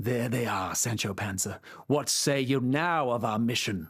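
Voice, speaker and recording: Putting on a character voice at medium pitch, a man speaks at a moderate pace on a very clean recording with a silent background. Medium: read story. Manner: pompous, archaic speech.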